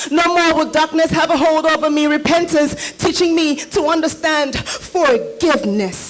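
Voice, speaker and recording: Over music in the background, a woman with an extremely high pitch speaks at a moderate pace and very even loudness, with ordinary pitch variation and hardly any pauses. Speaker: spoken word poet. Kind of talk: spoken word poetry performance.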